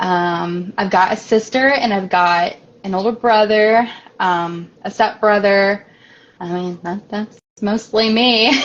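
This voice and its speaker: This woman's medium-pitched voice, fairly even in intonation, unfolds at a very slow pace. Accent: Midwestern American. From US Midwest, Springfield, Illinois. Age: 20s. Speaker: author. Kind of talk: interview. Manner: hesitant, many fillers.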